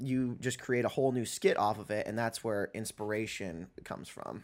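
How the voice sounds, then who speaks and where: A plain, everyday voice at a moderate pace carries fairly even intonation, recorded very cleanly against a silent background. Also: man. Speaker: podcast host. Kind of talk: casual chat. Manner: joking.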